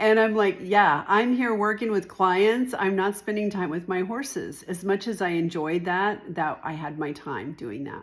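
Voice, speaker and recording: A woman with an unremarkable speaking voice talks at a moderate pace and medium pitch, with ordinary pitch variation and hardly any pauses. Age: 60s. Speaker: real estate agent. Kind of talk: informal talk-to-camera explainer. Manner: conversational, with fillers.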